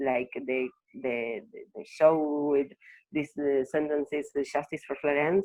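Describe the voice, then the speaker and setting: A woman's very deep, low voice with a non-native accent, fairly slow and fairly even in intonation. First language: Spanish. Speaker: activist. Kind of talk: interview. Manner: halting.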